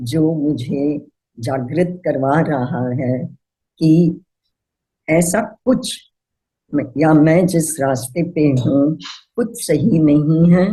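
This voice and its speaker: A woman's very deep, low voice with a non-native accent, a dark, mellow tone, some breathiness and lively intonation. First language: not Hindi (speaking Hindi). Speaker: healer. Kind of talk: personal testimony.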